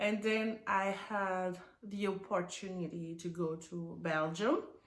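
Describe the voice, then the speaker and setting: With a French accent, a woman of medium pitch speaks at a very slow pace with fairly even intonation, and audible room echo can be heard. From Burkina Faso. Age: 30s. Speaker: immigrant nurse. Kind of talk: casual interview. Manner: halting.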